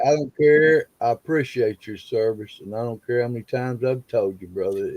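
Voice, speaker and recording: A man with a Southern accent talks at a fairly quick pace and medium pitch, with ordinary pitch variation. His loudness swings a lot, and the sound is dry and close with no echo. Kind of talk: relaxed, casual.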